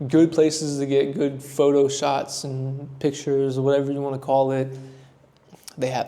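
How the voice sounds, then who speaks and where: With an American accent, a man talks at a moderate pace and a fairly high pitch. His intonation is flat and monotone, with noticeable background noise. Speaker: travel vlogger. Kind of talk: casual vlog recap. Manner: loud; casual, chatty.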